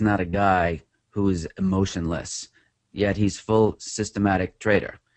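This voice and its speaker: A man speaks with a New York accent. His pitch is fairly low and his intonation fairly even. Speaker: trader and author. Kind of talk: interview.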